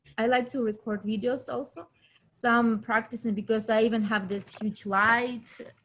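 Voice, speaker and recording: A woman with a non-native accent speaks at a moderate pace and a fairly high pitch, with ordinary pitch variation. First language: not English. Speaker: actor in local film network. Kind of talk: casual chat. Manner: halting.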